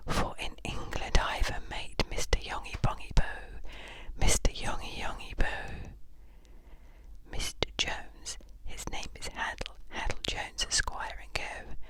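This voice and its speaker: Someone whispers at a fairly slow pace, with long, frequent pauses. Background noise is noticeable. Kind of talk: poetry reading. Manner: whispered.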